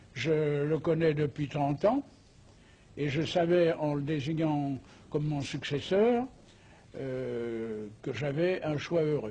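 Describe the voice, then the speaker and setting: Very slow speech with frequent long pauses shows normal rise and fall in pitch. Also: man, fairly high pitch for a man. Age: 80s+. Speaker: former grand master of a masonic order. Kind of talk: interview. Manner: hesitant with frequent fillers.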